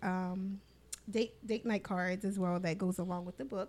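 A woman with an American accent has an unremarkable speaking voice at a medium pitch, her intonation fairly even. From New York. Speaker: author and business owner. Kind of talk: podcast interview.

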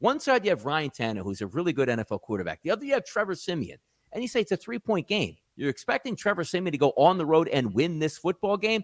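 A man with an American accent speaks at a high pitch and a very fast pace. His pitch swings very widely. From South Jersey, US. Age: 40s. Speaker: sports betting analyst. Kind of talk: podcast interview.

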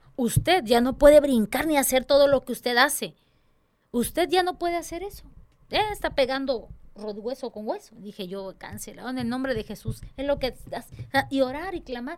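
A woman's high-pitched, animated voice with lively intonation, a moderate pace, and big swings in loudness. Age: 30s. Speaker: church dance director. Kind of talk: casual chat.

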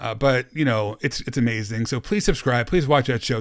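A plain, everyday voice from a man at a medium pitch and moderate pace, on a very clean recording with a silent background. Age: 50s. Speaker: podcast host. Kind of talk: casual interview.

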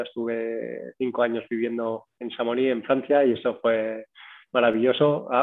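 The speaker talks at a fairly slow pace in a monotone, flat intonation. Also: man. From Mallorca, Spain. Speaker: breathing and cold exposure instructor. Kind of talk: interview. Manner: hesitant, with many fillers.

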